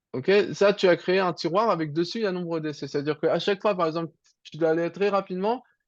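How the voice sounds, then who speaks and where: This man speaks at a very fast pace. His high-pitched voice shows ordinary pitch variation. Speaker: programming teacher. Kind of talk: online tutoring lesson.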